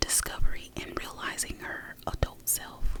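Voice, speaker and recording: Noticeable background noise beneath a very slow whisper. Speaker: ASMR creator. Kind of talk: reading a book blurb aloud. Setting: studio, close microphone. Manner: whispered, soft-spoken.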